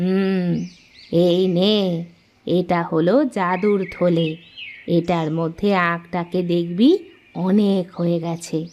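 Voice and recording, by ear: A woman does a cartoonish character voice at a fairly low pitch, moving at a very slow pace with monotone, flat intonation.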